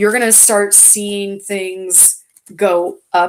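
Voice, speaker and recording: Very slowly and in a flat monotone, a woman speaks at a medium pitch. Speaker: tarot reader. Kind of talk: live tarot reading. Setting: livestream. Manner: loud.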